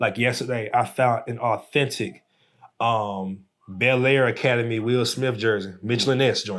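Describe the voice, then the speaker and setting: Recorded very cleanly against a silent background, a man speaks at a moderate pace and medium pitch with fairly even intonation. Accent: Southern US. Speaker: artist and entrepreneur. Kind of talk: casual chat.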